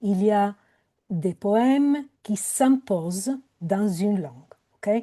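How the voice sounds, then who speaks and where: With an Italian accent, a woman speaks in a dark, mellow tone with ordinary pitch variation. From Italy. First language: Italian (speaking French). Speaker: poet and professor. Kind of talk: panel discussion. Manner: hesitant, many fillers.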